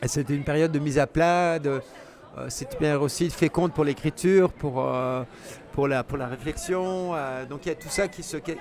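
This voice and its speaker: Ordinary pitch variation against noticeable background noise. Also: man. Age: 60s. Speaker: travel writer and cyclist. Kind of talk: interview. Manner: hesitant, many fillers.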